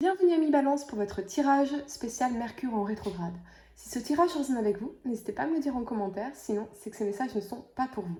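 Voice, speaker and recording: A woman's high-pitched voice at a very fast pace, with lively intonation, big swings in loudness and noticeable background noise. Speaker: tarot reader. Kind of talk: tarot reading. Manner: hesitant fillers.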